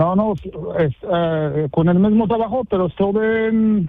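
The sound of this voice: This man speaks with a Moroccan accent. His pitch is high. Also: ordinary pitch variation, fairly slow pace.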